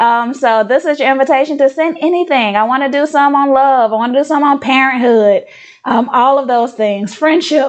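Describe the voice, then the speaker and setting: A woman with a high pitch, ordinary pitch variation, very even loudness and a moderate pace. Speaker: life and career coach. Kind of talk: casual livestream Q&A. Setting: livestream. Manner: unscripted, conversational with fillers.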